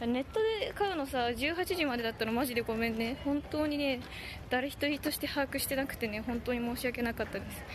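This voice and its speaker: A woman with a high pitch and ordinary pitch variation speaks in a dry sound with no echo, over noticeable background noise. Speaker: band drummer livestreaming. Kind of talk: casual livestream chat. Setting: outdoors walking the streets. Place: street. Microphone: phone near.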